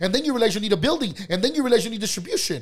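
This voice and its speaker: Talking at a very fast pace, a man uses lively intonation in an American accent. His voice is high-pitched. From Mexican family, grew up on the east side of a US city. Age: 30s. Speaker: entrepreneur, financial advisor. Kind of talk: interview conversation.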